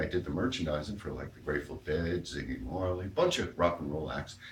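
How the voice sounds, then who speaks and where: Vocal fry runs through fairly quick speech with lively intonation and audible room echo. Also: man. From New York. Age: 60s. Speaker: amateur comedian. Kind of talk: stand-up.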